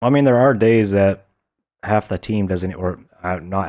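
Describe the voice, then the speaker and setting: A man's very deep, low voice with a dark, mellow tone and an American accent, in a very clean recording against a silent background. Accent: Southern American, reduced by speech therapy. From US South. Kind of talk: casual chat. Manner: animated.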